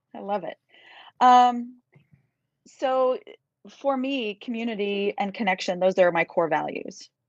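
With a Midwestern American accent, a woman talks at a fairly slow pace in a fairly high voice, with ordinary pitch variation, long, frequent pauses, and a dry, close sound with no echo. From central Kansas. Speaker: university music professor and conductor. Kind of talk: casual interview. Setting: live video stream.

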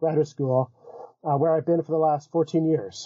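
An ordinary speaking voice with an American accent and fairly even intonation. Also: man. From US South, Florida. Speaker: philosophy professor. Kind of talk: interview.

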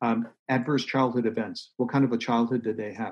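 Against a quiet background, a man talks at a fairly quick pace. He has a plain, everyday voice. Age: 60s. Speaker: author and doctor. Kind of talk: interview.

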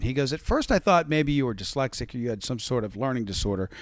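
A man with an American accent speaks in a normal speaking voice. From West Virginia. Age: 40s. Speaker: radio DJ. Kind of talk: casual chat.

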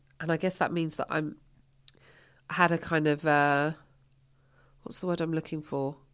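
Speaking in an English accent, a woman with a very deep, low pitch keeps a moderate pace and fairly even intonation, leaving long, frequent pauses in a very clean recording with a silent background. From England. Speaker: stand-up comedian. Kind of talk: casual chat.

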